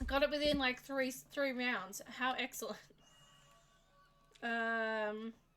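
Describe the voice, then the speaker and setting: Music plays in the background as a woman speaks very slowly, with long, frequent pauses. Her voice is high-pitched and her intonation fairly even. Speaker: streamer. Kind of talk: casual chat. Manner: halting.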